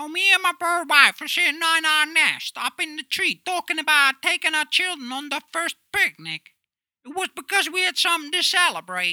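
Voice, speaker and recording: A put-on character voice with a high pitch moves at a moderate pace. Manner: chirpy.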